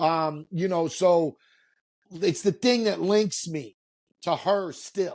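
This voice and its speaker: A man with a New York accent talks very slowly with ordinary pitch variation against a quiet background. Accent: New York, stands out elsewhere. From New York, Queens. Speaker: reality TV personality. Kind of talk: casual podcast interview.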